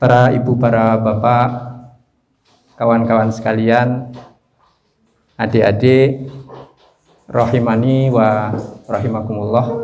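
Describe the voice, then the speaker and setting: A man with a medium-pitched voice speaks very slowly in a monotone, flat delivery, with long, frequent pauses and audible room echo. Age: 60s. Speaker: Islamic preacher and business teacher. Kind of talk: religious business lecture. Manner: casual, joking.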